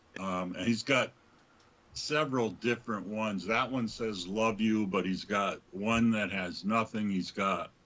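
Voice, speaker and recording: Speaking in a New England accent, a man with fairly low pitch and ordinary pitch variation talks at a fairly slow pace. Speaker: livestream host. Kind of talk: casual chat.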